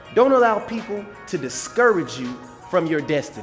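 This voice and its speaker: Over music in the background, a man speaks with very wide pitch swings. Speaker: preacher, motivational speaker. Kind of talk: sermon-style motivational talk to camera.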